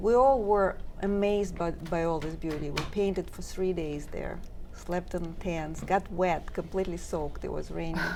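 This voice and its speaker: Room echo is audible as a woman with a fairly low pitch speaks at a moderate pace with ordinary pitch variation. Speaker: silk painting artist. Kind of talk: talk show interview. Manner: hesitant, many fillers.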